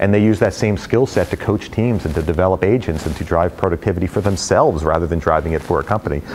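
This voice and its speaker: A man with an American accent and a very deep, low pitch talks at a very fast pace with hardly any pauses and ordinary pitch variation, over light background noise. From New Jersey, US. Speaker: real estate company president; guest. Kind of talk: talk with audience Q&A. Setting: stage with audience. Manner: joking, casual. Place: meeting room.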